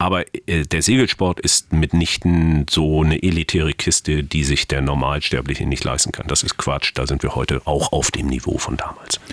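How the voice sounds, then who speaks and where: Over noticeable background noise, a man with a very deep, low pitch talks at a moderate pace with ordinary pitch variation and hardly any pauses, in a dry, close sound with no echo. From East Germany. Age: 50s. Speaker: author and former sailor. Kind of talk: interview.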